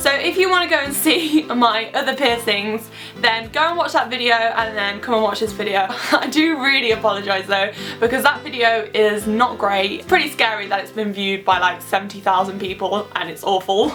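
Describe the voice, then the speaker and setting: Music plays in the background as a woman speaks at a fairly quick pace. Her fairly high pitch carries lively intonation. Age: young. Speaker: beauty and lifestyle vlogger. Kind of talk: casual vlog chat. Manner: chatty, informal.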